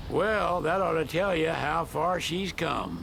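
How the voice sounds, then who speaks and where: Over clear background noise, a man drawls in a put-on character voice at a high pitch and a fairly slow pace. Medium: video game. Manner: folksy, drawling.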